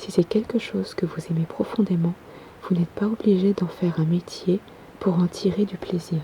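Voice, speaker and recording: Someone soft-spoken is whispering over noticeable background noise. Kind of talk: ASMR reading. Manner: soft-spoken, whispered.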